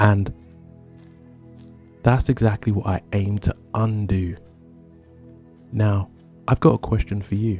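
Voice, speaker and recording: Over music in the background, a man speaks in a calm tone at a fairly low pitch and a fairly slow pace, with fairly even intonation and long, frequent pauses. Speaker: history podcaster. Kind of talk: storytelling narration. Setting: outdoors.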